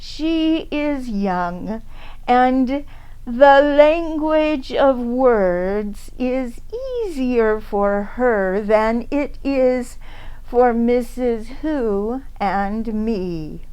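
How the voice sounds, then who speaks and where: This woman uses a put-on character voice pitched high. She goes at a very slow pace. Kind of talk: storybook reading. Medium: read story. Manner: terse, authoritative, cool.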